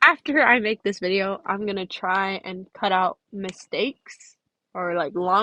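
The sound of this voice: Against a quiet background, an unforced reading voice holds fairly even intonation.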